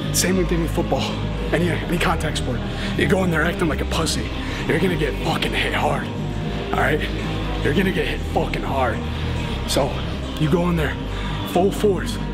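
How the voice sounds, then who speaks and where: With loud music in the background, a man speaks with long, frequent pauses. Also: moderate pace. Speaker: gym vlogger. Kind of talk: casual vlog chat. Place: gym.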